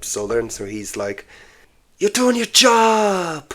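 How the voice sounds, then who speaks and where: With a Dublin accent, a man talks at a fairly slow pace. His pitch swings very widely. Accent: Irish, Dublin area. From Ireland, east coast near Dublin. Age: 20s. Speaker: comedian. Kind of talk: casual chat. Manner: halting.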